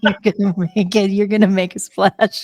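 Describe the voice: At a fairly slow pace, a woman speaks at medium pitch with a slightly mellow tone and little pitch movement.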